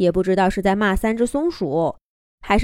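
The speaker uses an unforced reading voice with lively intonation. The background is quiet.

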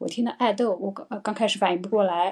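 A woman speaks with a Chinese accent. Her pitch variation is ordinary. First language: Mandarin Chinese. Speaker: English teacher hosting live stream. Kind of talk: live stream talk. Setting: live stream. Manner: hesitant, many fillers.

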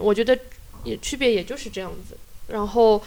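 A woman at a fairly high pitch and a fairly quick pace. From Shanghai, China. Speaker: community activist and piano teacher. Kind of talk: casual interview chat. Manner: halting, many fillers.

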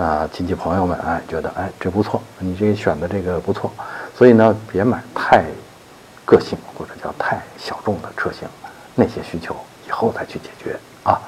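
Amid noticeable background noise, a man whispers at a moderate pace with big swings in loudness. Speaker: car expert answering listener questions. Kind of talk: listener Q&A advice monologue. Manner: many filler sounds, loose conversational pacing.

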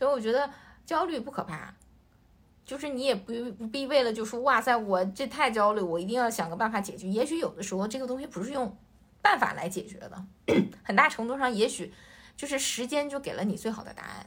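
In a plain, everyday voice, a woman talks at a fairly quick pace with lively intonation and a fairly high pitch. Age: 30s. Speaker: podcast co-host, entrepreneur. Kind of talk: casual chat.

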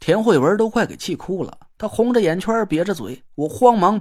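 This is reading aloud. It comes in a natural voice.

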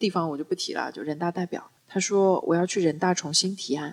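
This woman talks at a fairly quick pace. Her pitch is fairly low, with ordinary variation. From Wuxi, Jiangsu. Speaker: public speaking coach. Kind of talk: casual chat. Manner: animated.

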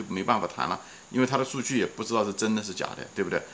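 Pitch moving in an ordinary way, a man talks as noticeable background noise carries on behind him. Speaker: podcast host. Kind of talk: solo investing talk. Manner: casual with many fillers.

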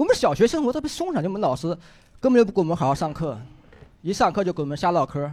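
Going at a very fast pace, a man speaks with very wide pitch swings. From Henan. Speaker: stand-up comedian. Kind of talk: stand-up.

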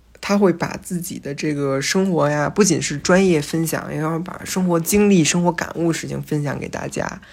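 The speech moves at a moderate pace with hardly any pauses and fairly even intonation. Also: woman, fairly low pitch for a woman. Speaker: podcast host and first-year philosophy student. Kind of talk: casual solo monologue. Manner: hesitant with frequent fillers.

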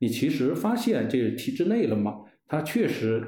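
With audible room echo, a man with a fairly high pitch and a dark, mellow tone speaks somewhat breathily, his pitch swinging very widely. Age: 40s. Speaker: former civil servant and leader's secretary. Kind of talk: casual interview chat. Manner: halting, many fillers.

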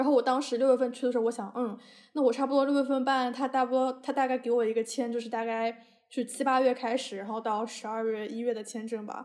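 Very fast and monotone with flat intonation, a woman speaks in a high voice, recorded very cleanly against a silent background. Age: 20s. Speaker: podcast host, university student. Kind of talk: casual chat.

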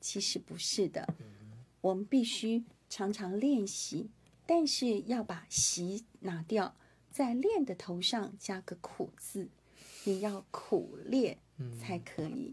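The voice is somewhat breathy, with a Hakka accent. It moves at a very slow pace with lively intonation. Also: woman, medium pitch for a woman. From Taiwan. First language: Hakka (speaking Chinese). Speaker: radio host. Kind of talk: interview.

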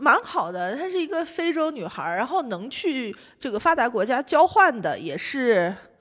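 A woman's high voice swings very widely in pitch while she keeps a moderate pace. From Xi'an, China. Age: 20s. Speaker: podcast guest, former student abroad in Canada. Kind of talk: casual chat. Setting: office meeting room.

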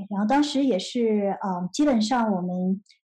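Her voice dark and mellow yet fairly high, a woman speaks somewhat breathily with ordinary pitch variation. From mainland China, Nanjing then Shenzhen from age 8. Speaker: tech startup founder and CEO. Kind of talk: interview.

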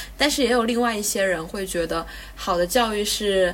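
A woman talks at a moderate pace in a medium pitch. Her pitch varies in an ordinary way, and there is noticeable background noise. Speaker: podcast host. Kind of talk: casual interview chat.

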